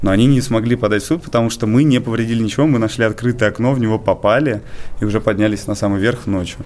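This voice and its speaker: Speech comes at a very fast pace with very even loudness. Noticeable background noise sits behind it. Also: man, medium pitch for a man, fairly even intonation. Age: 20s. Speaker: rooftopper and photographer. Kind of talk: radio interview.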